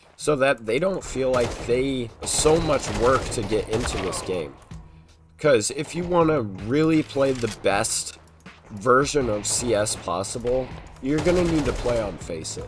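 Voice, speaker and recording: Someone speaks at a fairly slow pace while music plays in the background. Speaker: gamer. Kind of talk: casual commentary over gameplay.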